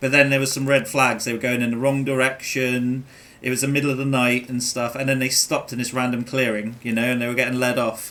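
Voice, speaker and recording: This man speaks very fast in an English accent at a medium pitch. His intonation is monotone and flat. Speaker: gaming streamer. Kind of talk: casual chat. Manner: halting.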